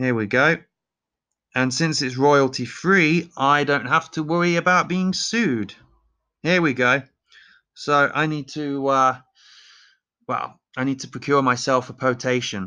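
In an East Midlands accent, a man speaks at a fairly high pitch with a bright, sharp tone and ordinary pitch variation. His pace is fairly slow with long, frequent pauses, and the background is quiet. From Leicester, England. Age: 30s. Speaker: podcast host. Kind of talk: casual opinionated monologue, comedic. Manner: opinionated, sarcastic, joking.

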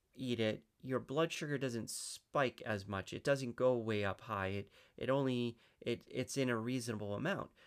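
A man talks fairly slowly, his voice sitting at a medium pitch. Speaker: fitness coach. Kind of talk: live stream talk. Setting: live stream, online. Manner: halting, rambling; casual, conversational.

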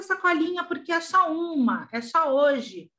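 A woman's raised, projected voice with a bright, sharp tone at a fairly slow pace. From Brazil, São Paulo. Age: 40s. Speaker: fashion designer and small business owner. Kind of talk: interview.

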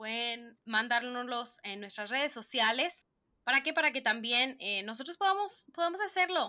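A woman speaks with a northern Mexican accent in a high voice. Her tone is bright and sharp, with very wide pitch swings. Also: moderate pace. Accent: northern Mexican (Monterrey) Spanish. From Mexico, Monterrey. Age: 20s. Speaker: podcast co-host. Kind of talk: casual chat. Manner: blunt, to the point.

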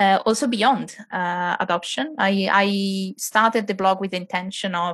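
Speaking at a moderate pace with fairly even intonation, a woman with an Italian accent is heard over a quiet background. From Italy. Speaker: adoptive mother and blogger. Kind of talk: casual interview chat.

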